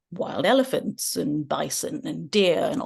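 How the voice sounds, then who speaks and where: Over a quiet background, a woman speaks at a very slow pace. Her pitch swings very widely. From southern India. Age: 30s. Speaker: author. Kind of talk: casual interview.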